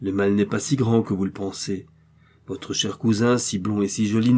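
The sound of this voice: The intonation is fairly even. It belongs to an unforced reading voice.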